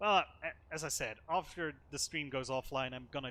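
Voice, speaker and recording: With a non-native accent, a man speaks at a moderate pace in a bright, sharp, fairly high voice with ordinary pitch variation. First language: not English. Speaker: gaming streamer. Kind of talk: casual gameplay commentary.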